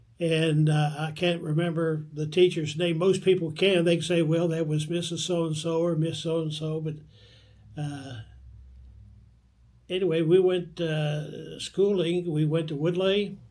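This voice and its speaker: This man speaks with an American accent at a fairly high pitch, slowly and fairly unhurriedly. His intonation is monotone and flat, and room echo can be heard. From northeastern Kentucky (Vanceburg, Maysville). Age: 80s+. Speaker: oral history interviewee. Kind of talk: oral history interview. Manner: halting, with frequent fillers.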